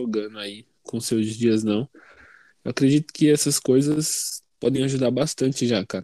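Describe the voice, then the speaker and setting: Recorded very cleanly against a silent background, with a dry, close sound and no echo, a man speaks at a medium pitch with ordinary variation and a dark, mellow tone. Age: 20s. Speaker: university student and youth leader. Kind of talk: casual chat.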